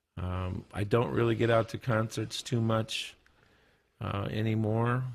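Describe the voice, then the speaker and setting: At a fairly slow pace, a man with a normal speaking voice and medium pitch talks with fairly even intonation in a very clean recording with a silent background. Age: 60s. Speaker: guitarist, studio guest. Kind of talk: casual chat. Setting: studio.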